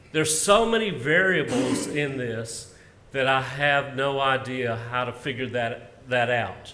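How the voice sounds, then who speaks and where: Against noticeable background noise, a man with a Southern US accent talks at medium pitch. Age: 60s. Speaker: minister and retirement benefits presenter. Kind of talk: presentation to church workers. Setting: live-streamed meeting.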